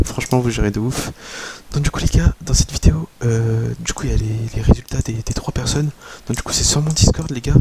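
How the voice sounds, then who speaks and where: Over noticeable background noise, a soft-spoken man talks fairly quickly at medium pitch with lively intonation. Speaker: gaming youtuber. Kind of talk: video intro to viewers.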